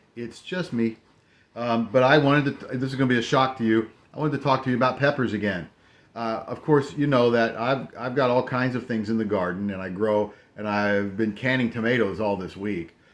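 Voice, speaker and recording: A man at medium pitch, fairly quick pace and ordinary pitch variation, with a quiet background. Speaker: farmer and podcaster. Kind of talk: casual video review. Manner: casual, many fillers and restarts.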